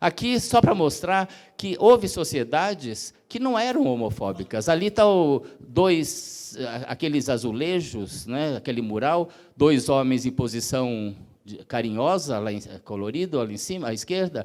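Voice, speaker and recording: Talking at a fairly slow pace, a man with a fairly high voice swings very widely in pitch and makes big jumps in loudness. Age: 60s. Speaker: activist speaker. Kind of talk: lecture. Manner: halting.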